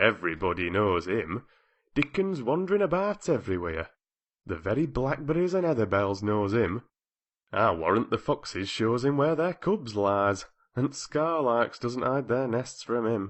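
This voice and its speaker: A man in a put-on character voice with a Yorkshire accent projects a gruff, medium-pitched voice at a moderate pace, with very wide pitch swings and very even loudness. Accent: Yorkshire dialect, thee and thou. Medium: read story. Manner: blunt, gruff.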